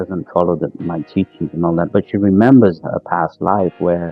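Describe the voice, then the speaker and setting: A man's voice with music in the background. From Pakistan. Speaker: stand-up comedian, actor, spiritual teacher. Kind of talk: interview answer.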